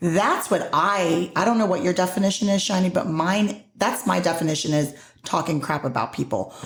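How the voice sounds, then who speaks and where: Somewhat breathy and animated, this voice rises and falls with lively intonation on a very clean recording with a silent background. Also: woman. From Puerto Rico. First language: Spanish. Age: 40s. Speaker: podcast host. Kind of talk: casual chat.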